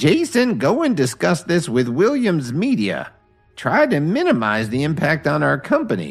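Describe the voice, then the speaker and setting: A man performs in a put-on character voice at very even loudness. Faint music plays in the background. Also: fairly high pitch for a man, moderate pace. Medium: read story. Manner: stern, authoritative.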